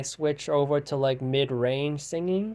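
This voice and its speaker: A man with a dark, mellow tone, fairly high in pitch, with ordinary pitch variation. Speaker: outsider musician. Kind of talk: casual monologue vlog. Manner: fast; halting.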